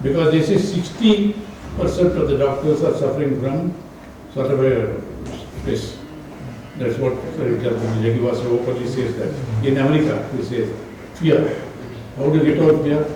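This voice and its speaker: In a room with audible echo and noticeable background noise, a man speaks at a moderate pace in a fairly high pitch with ordinary pitch variation and long, frequent pauses. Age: 80s+. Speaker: round-table speaker, newsletter writer. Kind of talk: panel discussion talk. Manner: repetitive, emphatic.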